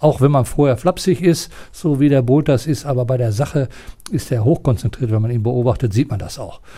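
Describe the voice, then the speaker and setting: A man's somewhat breathy voice, dark and mellow in tone, at medium pitch with ordinary pitch variation and a moderate pace. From East Westphalia, Germany (near Paderborn). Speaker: retired sports and art teacher, former Olympic athlete. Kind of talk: interview. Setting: theatre building.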